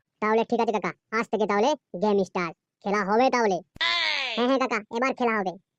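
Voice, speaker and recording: A woman does a cartoonish character voice at a fairly high pitch, with ordinary pitch variation and a fairly quick pace. The sound is dry and close, with no echo. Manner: eager, deferential to the boss.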